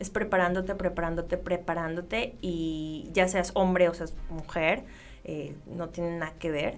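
In audible room echo, a woman with a fairly low voice speaks fairly slowly and with fairly even intonation. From Mexico, Sonora (Ciudad Obregón). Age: 20s. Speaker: sports journalist and TV presenter. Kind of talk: interview.

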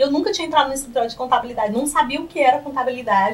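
A woman's raised, projected, high-pitched voice with lively intonation against noticeable background noise. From Piauí, Brazil (Piripiri). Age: 30s. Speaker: accountant and lecturer.

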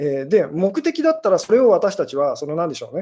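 Delivered at a very fast pace, the speech comes on a very clean recording with a silent background. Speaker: fortune teller. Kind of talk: live stream talk.

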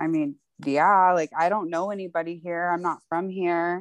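In a normal speaking voice, a woman talks at a fairly slow pace and a fairly low pitch. The recording is very clean, the background silent. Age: 20s. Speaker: nail technician. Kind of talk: casual chat. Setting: outdoors.

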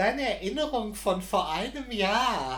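The room adds audible echo. A man does the talking. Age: 40s. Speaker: podcast co-host. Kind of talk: casual chat.

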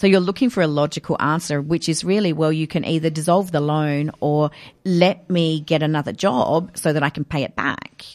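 Speaking with an Australian accent at a very deep, low pitch, a woman keeps a moderate pace with hardly any pauses. Her intonation is fairly even, and the recording is very clean with a silent background. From Australia, Adelaide. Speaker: author and educator. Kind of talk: interview.

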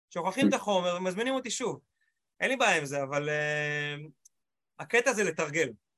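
A man talks at a moderate pace in a high pitch, with a bright, sharp tone. His pitch swings very widely, and he leaves long, frequent pauses. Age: 40s. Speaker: motivational speaker. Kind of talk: panel discussion. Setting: video call. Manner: animated.

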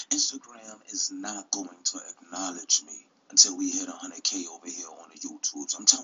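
A man speaks in a New York accent. Noticeable background noise sits behind him. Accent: New York City. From Brooklyn, New York City. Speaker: YouTube commentary host. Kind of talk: casual commentary video.

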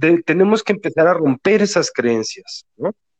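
This man has an ordinary speaking voice and talks at a fairly slow pace with lively intonation. The sound is dry and close, with no echo. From Mexico City. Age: 40s. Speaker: regression therapist. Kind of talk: interview.

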